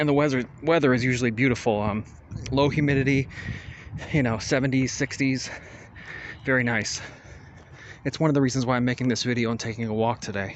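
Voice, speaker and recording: A man's medium-pitched voice in an American accent, fairly even in intonation, at a very fast pace broken by long, frequent pauses. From South Florida (Hollywood, FL). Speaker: vlogger. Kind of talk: walking tour narration. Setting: outdoors. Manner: casual.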